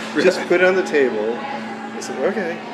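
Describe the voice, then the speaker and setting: A man with an American accent at a moderate pace, lively intonation, audible room echo and music in the background. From US Midwest (Detroit). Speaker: retired watch collector. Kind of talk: casual chat.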